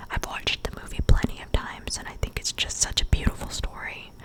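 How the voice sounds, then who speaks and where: A woman whispers over noticeable background noise. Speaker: ASMR creator. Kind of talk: casual talk to camera. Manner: soft-spoken, whispery.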